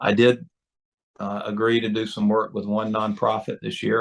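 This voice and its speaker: A man speaks with a North Carolina accent. His voice is fairly low and his pace moderate. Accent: Southern US (North Carolina). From North Carolina, rural. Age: 60s. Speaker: lobbyist. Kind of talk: interview. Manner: halting, many fillers.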